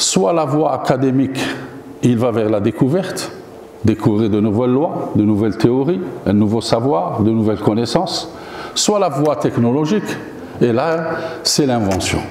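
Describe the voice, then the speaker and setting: A medium-pitched man at a fairly slow pace, with lively intonation, long and frequent pauses, very even loudness, audible room echo and noticeable background noise. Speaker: professor giving a guest lecture. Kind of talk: lecture. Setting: university lecture hall. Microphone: no microphone.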